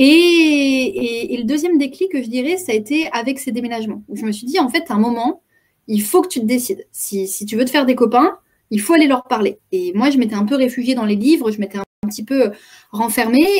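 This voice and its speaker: High-pitched woman's voice, fairly quick, with lively intonation. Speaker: improv trainer and communication coach. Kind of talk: web conference talk. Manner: fast; hesitant, many repetitions.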